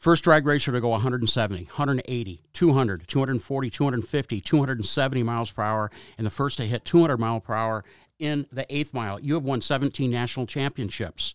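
On a very clean recording with a silent background and a dry, close sound with no echo, a man with a plain, everyday voice speaks fairly slowly at a medium pitch with ordinary pitch variation. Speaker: auto auction TV commentator and co-host. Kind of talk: interview.

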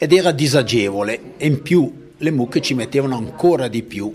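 A man with a normal speaking voice at a moderate pace. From Italian-speaking Switzerland. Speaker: local author. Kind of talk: interview.

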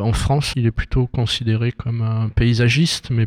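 The man speaks at a medium pitch in a monotone, flat intonation, with a dry, close sound and no echo. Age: 50s. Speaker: visual artist. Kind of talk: interview. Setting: exhibition opening.

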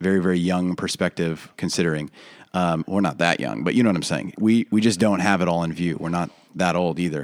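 The recording is very clean, with a silent background. A man speaks at a very deep, low pitch and a fairly quick pace. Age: 30s. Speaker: pastor and church planter. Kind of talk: casual chat.

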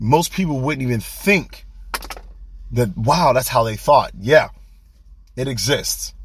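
A man with an American accent speaks at a fairly slow pace and a medium pitch over noticeable background noise. His tone is animated and his intonation lively. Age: 30s. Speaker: podcast host. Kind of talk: casual monologue.

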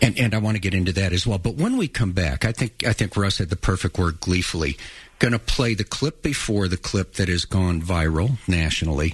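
A man talks fairly quickly in a very deep, low pitch, somewhat breathy and with very even loudness. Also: ordinary pitch variation. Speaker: radio host. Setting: studio.

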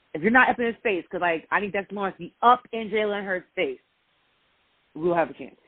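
Very fast and animated, the speaker uses an American accent, with big swings in loudness. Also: woman, medium pitch for a woman, ordinary pitch variation. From New York. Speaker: sports show host and nonprofit founder. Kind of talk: casual interview.

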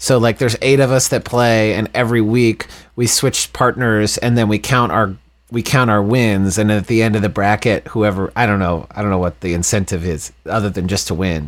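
At a moderate pace, a man with an unremarkable speaking voice talks in a fairly low pitch with ordinary pitch variation. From Texas, Dallas suburbs. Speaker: rock band frontman. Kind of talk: casual chat.

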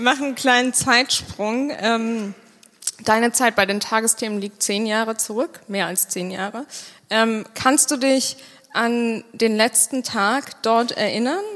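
Over noticeable background noise, a woman with a fairly high voice talks at a very slow pace with fairly even intonation. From Bonn, Germany. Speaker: podcast host. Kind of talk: live interview on stage. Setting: stage with live audience.

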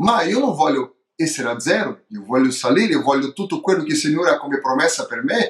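With a Portuguese accent, a man speaks at a fairly quick pace and a high pitch, his voice making very wide pitch swings. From Brazil. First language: Portuguese (speaking Italian). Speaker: pastor. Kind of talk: testimony. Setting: remote call. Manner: halting, mixing Portuguese and Italian.

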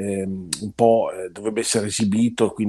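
A man's dark, mellow voice on a very clean recording with a silent background. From Italy, Parma. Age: 60s. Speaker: food critic and university teacher. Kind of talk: interview.

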